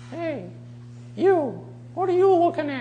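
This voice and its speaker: Someone does a put-on character voice at a fairly slow pace, with clear background noise behind them. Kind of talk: tone of voice clearly different from the ventriloquist's own. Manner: cranky, sassy.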